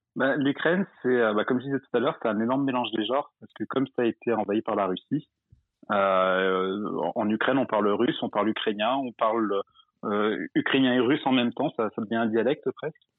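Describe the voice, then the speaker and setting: Speaking at a fairly quick pace, a man uses a plain, everyday voice with medium pitch and ordinary pitch variation. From Drôme, France. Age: 20s. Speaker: caller, expatriate. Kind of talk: casual chat.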